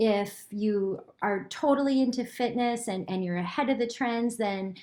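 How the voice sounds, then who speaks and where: The woman's voice sits at a fairly high pitch with ordinary pitch variation, at a moderate pace. The recording is very clean, the background silent. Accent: American. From US Midwest. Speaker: franchise consultant. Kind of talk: short advice video. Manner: casual, energetic.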